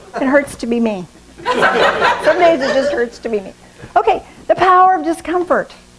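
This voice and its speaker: A woman speaks in a high pitch with very wide pitch swings. Noticeable background noise runs behind her. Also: moderate pace. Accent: American. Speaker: pastor. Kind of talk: sermon.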